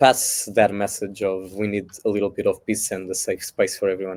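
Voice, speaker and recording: A man speaks with a Portuguese accent. His tone is dark and mellow. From Portugal, Lisbon area. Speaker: singer-songwriter, festival contestant. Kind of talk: interview. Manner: halting.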